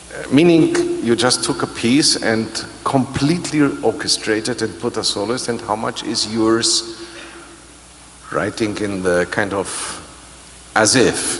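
A man talks at a fairly slow pace with ordinary pitch variation. Light background noise is present. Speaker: orchestra conductor. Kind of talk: pre-concert interview. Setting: stage with audience. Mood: relaxed, explanatory. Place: hall. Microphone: handheld.

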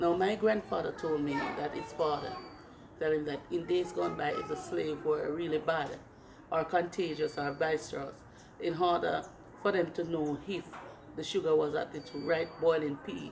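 A woman with a Jamaican accent talks at a moderate pace in a fairly low pitch. Her intonation stays fairly even over noticeable background noise. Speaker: Maroon community leader and tour guide. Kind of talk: interview explaining cultural heritage.

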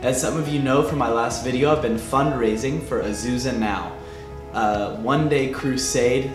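Clear music plays in the background as a man speaks at a moderate pace with ordinary pitch variation. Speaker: student vlogger. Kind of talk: casual vlog update. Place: studio.

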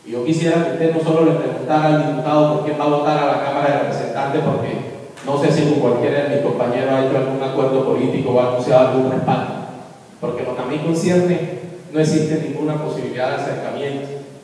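Strong room echo surrounds a man speaking at a very fast pace in a flat monotone. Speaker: politician at a press conference. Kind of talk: political statement to the press. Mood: indignant, accusatory. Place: meeting room. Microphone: camera far.

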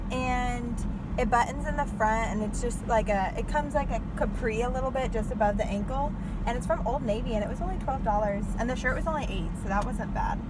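A woman keeps a moderate pace in a dry sound with no echo as loud background noise fills the clip. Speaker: vlogger. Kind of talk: casual vlog chat. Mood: cheerful, laughing. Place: car. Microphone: phone near.

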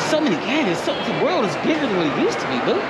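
Loud background noise surrounds the recording. A man talks at a fairly quick pace. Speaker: vlogger. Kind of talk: casual vlog chat. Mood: joking, relaxed. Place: market. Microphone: phone near.

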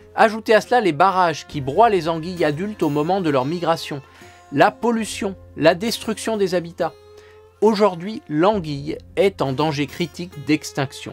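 A man speaks at a fairly slow pace in a high pitch for a man, with a playful tone, ordinary pitch variation, and faint music in the background. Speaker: naturalist storyteller. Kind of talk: educational nature storytelling. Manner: playful, humorous. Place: studio.

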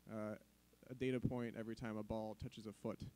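A man's dark, mellow tone stays monotone, with flat intonation throughout. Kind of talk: conference presentation. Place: hall.

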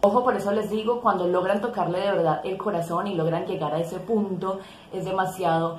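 The speech moves at a moderate pace. There is audible room echo and light background noise. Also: woman. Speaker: tarot content creator. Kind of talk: casual vlog chat. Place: home room. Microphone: phone near.

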